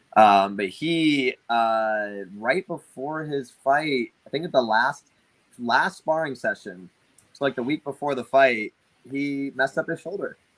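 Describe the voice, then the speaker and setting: A man talks in an unremarkable speaking voice at a medium pitch. His pace is moderate and his intonation lively. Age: 20s. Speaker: boxing coach. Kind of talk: casual chat.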